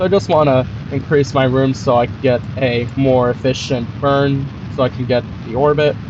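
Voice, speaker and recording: A man talks with fairly even intonation and hardly any pauses. Noticeable background noise runs underneath. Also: medium pitch for a man, moderate pace. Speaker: gaming YouTuber. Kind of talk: gameplay commentary. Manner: casual, filler-heavy ('like').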